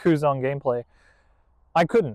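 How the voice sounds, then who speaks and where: A man with an Australian accent is recorded with a dry, close sound and no echo. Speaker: card game content creator. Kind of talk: deck profile tutorial. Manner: casual, conversational.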